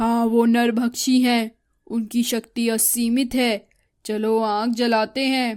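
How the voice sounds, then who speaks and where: A woman's cartoonish character voice at a fairly high pitch, monotone and flat in intonation, at a fairly slow pace. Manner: gruff.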